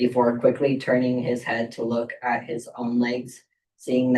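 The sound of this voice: An unforced reading voice is heard against a quiet background.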